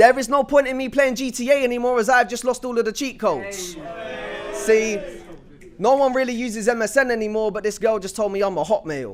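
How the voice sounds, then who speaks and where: A man's extremely high voice at a fairly quick pace, with noticeable background noise. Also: ordinary pitch variation. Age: 20s. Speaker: spoken word poet. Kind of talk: spoken word performance. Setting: stage with audience.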